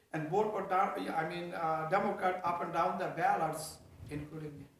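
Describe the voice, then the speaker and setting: Noticeable background noise surrounds a man speaking at a moderate pace. His pitch is high and his intonation fairly even. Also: big swings in loudness. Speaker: state senator. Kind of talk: interview answer.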